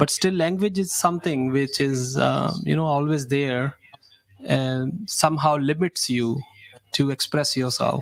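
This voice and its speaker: A man with a Punjabi accent speaks at a fairly slow pace, his fairly high pitch moving with ordinary variation. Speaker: radio host. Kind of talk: radio interview. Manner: halting.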